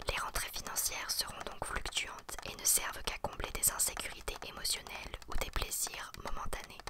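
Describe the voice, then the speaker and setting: A woman speaks in a whisper. Noticeable background noise is present. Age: 20s. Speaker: ASMR creator. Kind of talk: ASMR astrology reading. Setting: home studio microphone. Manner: whispered, soft.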